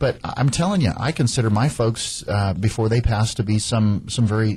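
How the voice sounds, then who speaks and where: Fairly low-pitched and somewhat breathy, a man speaks fairly quickly in a dark, mellow tone with ordinary pitch variation. The recording is very clean, the background silent. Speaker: radio host, real estate agent. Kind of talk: radio talk show. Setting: radio studio. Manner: fast.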